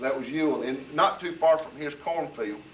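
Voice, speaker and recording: A man with a Southern US accent over noticeable background noise. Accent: Southern US (Georgia). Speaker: local resident recalling history. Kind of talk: storytelling at community gathering.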